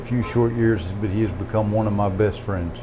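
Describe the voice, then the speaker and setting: A man with a Southern US accent speaks in a fairly low, monotone voice with flat intonation. Noticeable background noise and audible room echo surround him. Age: 50s. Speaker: rooster breeder. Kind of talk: interview.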